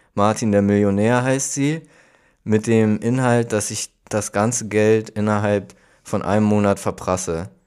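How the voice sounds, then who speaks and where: A man has an unremarkable speaking voice, fairly low in pitch and fairly slow. The recording is very clean, with a silent background. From Hamburg. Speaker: podcast co-host. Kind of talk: casual chat.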